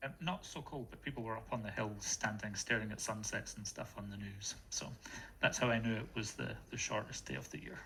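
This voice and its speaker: A man talks at a fairly quick pace with a Scottish accent and a fairly low pitch. His tone is bright and sharp, with vocal fry and lively intonation. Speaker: community member. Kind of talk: casual chat.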